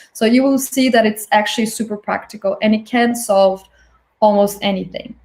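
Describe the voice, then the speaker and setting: A woman's fairly high, somewhat breathy voice with monotone, flat intonation. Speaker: design thinking instructor. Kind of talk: online workshop lecture. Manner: fast.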